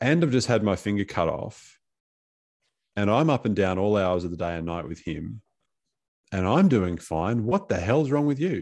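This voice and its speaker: A man with an Australian accent speaks at a moderate pace, using lively intonation. He leaves long, frequent pauses against a quiet background. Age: 40s. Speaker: podcast host and coach. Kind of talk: interview conversation. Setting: video call.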